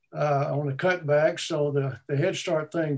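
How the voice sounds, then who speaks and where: A man with a Texan accent talks at a moderate pace, his intonation fairly even. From Texas, Austin. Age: 70s. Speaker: retired musician. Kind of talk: interview.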